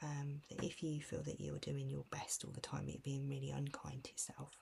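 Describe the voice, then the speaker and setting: Soft-spoken and gentle in tone, a woman talks at a moderate pace. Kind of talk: ASMR self-care picture book walkthrough. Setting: casual talk to camera, cosy relaxation. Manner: soft-spoken, gentle, calming.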